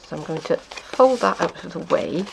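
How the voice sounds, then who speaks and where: A woman takes a fairly slow pace as noticeable noise runs in the background. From South Wales. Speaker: papercrafting demonstrator. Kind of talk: tutorial.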